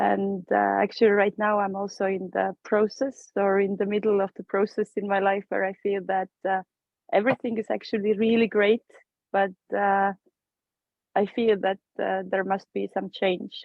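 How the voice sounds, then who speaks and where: Speaking with an Estonian accent, a woman keeps a medium pitch, a moderate pace and monotone, flat intonation. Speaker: course participant. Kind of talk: personal introduction.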